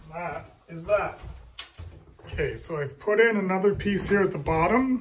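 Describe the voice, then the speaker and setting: A man speaks at a high pitch with big swings in loudness. Noticeable background noise and audible room echo fill the recording. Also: ordinary pitch variation, moderate pace. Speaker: DIY builder. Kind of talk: build tutorial vlog. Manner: casual, halting.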